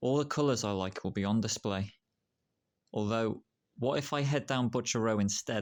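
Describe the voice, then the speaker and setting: A man with a West Midlands accent, fairly low pitch, ordinary pitch variation and a moderate pace, on a very clean recording with a silent background. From Shropshire, England. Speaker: poet. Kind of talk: spoken word poetry reading.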